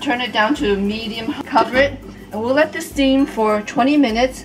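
Over clear music in the background, a woman talks at a fairly slow pace with ordinary pitch variation. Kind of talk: tutorial. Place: kitchen.

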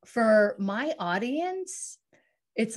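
Over a quiet background, a somewhat breathy woman speaks in an enthusiastic tone at a fairly high pitch with lively intonation. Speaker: podcast host. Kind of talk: interview. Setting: video call. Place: home room. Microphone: studio mic.

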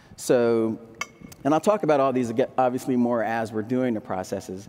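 A man with an American accent speaks at a moderate pace in a dark, mellow, medium-pitched voice with fairly even intonation, over light background noise. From Delaware, US. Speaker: ceramic artist and printmaker; demonstrating artist. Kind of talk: live demonstration talk. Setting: stage with audience. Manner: casual, halting with fillers. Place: stage. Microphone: headset.

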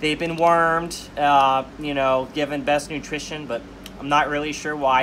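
A fairly quick delivery over light background noise. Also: man. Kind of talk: casual tour commentary. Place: home room. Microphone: camera far.

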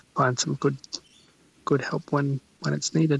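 A man with an Australian accent talks at a moderate pace and a fairly high pitch. His intonation is fairly even, and the sound is dry and close with no echo. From Western Australia (Albany). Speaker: chef and restaurant owner. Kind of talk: interview. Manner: hesitant, many ums.

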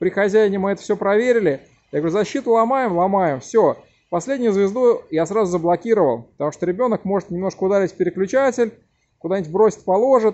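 A man's high voice at a very fast pace, with ordinary pitch variation. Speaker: bicycle mechanic. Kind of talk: tutorial. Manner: loud. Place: workshop. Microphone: phone near.

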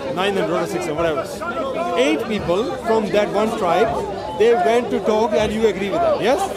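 A man speaks over loud background noise, his voice dry with no echo. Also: moderate pace. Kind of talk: heated debate. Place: open country.

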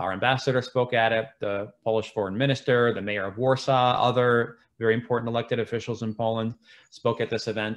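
Someone with an American accent speaks at a fairly quick pace in a flat, monotone way. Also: man. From Central Illinois, USA. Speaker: diplomat, Foreign Service officer. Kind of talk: career talk presentation. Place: home room. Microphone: webcam.

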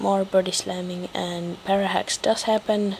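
Very slowly, a woman speaks over noticeable background noise. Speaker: gaming commentator. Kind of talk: game commentary narration. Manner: low-energy; casual.

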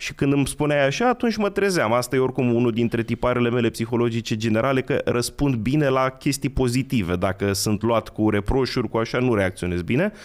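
This man talks at a fairly quick pace with hardly any pauses, his pitch medium and its variation ordinary, his loudness very even against a quiet background. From Romania, Călărași county; Romania. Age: 30s. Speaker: history enthusiast; podcast guest. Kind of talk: casual chat. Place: studio. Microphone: studio mic.

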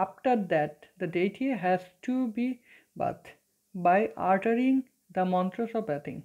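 A woman with a Bengali accent, a dark, mellow tone and a fairly slow pace. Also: quiet background. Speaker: teacher. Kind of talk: lecture. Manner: hesitant, many fillers. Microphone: phone near.

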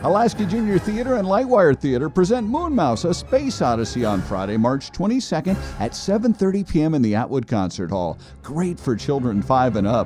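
With music playing in the background, a man talks at a fairly quick pace in a fairly high pitch, his voice making very wide pitch swings. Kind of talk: TV commercial read.

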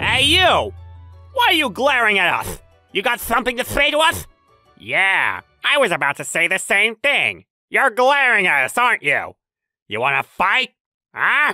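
A man speaks in a raised, projected voice at an extremely high pitch, with very wide pitch swings. His moderate pace has long, frequent pauses, and the sound is dry and close with no echo. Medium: fan dub. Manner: aggressive, taunting, loud.

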